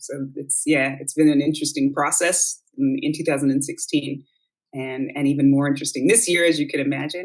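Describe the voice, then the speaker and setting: Here is a woman with an American accent. Her voice is very deep and low. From United States. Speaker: yoga teacher, podcast guest. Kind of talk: casual interview conversation.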